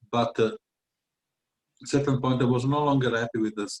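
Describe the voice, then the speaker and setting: A man speaks with an Italian accent. The sound is dry and close, with no echo. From Italy, Venice. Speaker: tutor and writer. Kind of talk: interview. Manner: halting, many fillers.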